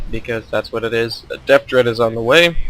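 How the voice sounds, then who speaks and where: Over noticeable background noise, a man of medium pitch talks at a fairly quick pace in a monotone, flat intonation. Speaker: gaming commentator. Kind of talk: gameplay commentary. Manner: fast; casual, with filler words.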